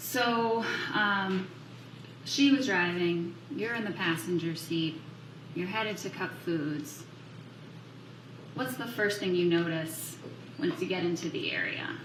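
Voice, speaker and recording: Amid noticeable background noise and audible room echo, a woman speaks at a fairly slow pace in a fairly low pitch with lively intonation and long, frequent pauses. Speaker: prosecutor questioning a witness. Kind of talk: courtroom witness examination. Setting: courtroom.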